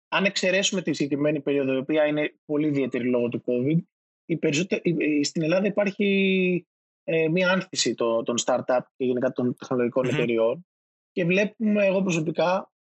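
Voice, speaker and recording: A man speaks at a moderate pace in a plain, everyday voice. His intonation is lively while his loudness stays very even. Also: fairly high pitch for a man. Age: 30s. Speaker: digital marketing manager. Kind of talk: interview.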